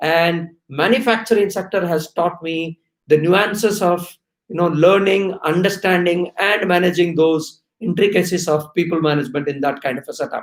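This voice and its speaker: With an Indian accent, a high-pitched man speaks at a moderate pace. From India, Odisha (Orissa-Andhra border). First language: Oriya. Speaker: HR executive. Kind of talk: live-stream talk to students. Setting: live stream while traveling. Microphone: possible bandwidth problems.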